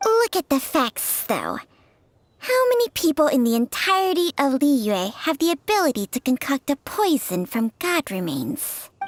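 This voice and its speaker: A female-sounding put-on character voice, pitched high, jumps through very wide pitch swings. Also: moderate pace. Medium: video game. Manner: proud, blunt.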